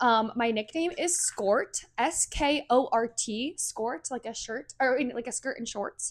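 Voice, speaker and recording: Her pitch is high. The woman speaks at a very slow pace. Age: 20s. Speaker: podcast co-host. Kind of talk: casual chat. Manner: loud.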